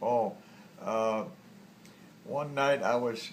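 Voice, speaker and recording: This man's voice sits at a medium pitch with ordinary variation. Noticeable background noise runs under it. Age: 80s+. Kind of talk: interview answer.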